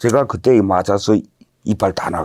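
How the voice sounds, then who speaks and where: A man with an unremarkable speaking voice talks at a fairly slow pace and a fairly low pitch, with ordinary pitch variation. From North Korea, Hamhung. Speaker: North Korean defector. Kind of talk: interview storytelling.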